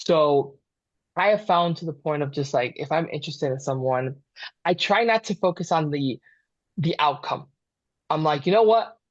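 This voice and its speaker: With a fairly high pitch, a man speaks at a moderate pace, with ordinary pitch variation and long, frequent pauses over a quiet background. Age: young. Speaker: mental health therapist. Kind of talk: casual chat. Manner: halting, repeats words.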